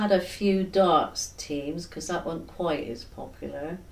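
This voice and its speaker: A woman with a West Country accent speaks at a very slow pace. Her fairly low voice carries ordinary pitch variation. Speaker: former factory worker. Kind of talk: oral history interview answer.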